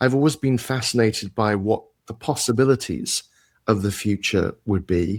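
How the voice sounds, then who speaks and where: In a very clean recording with a silent background, a man with a British accent speaks at a moderate pace, medium pitch and ordinary pitch variation. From UK. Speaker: tech executive and entrepreneur. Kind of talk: interview.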